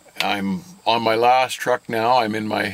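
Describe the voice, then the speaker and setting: The man's fairly low voice comes through dry, with no echo. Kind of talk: interview answer. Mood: calm, candid. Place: car.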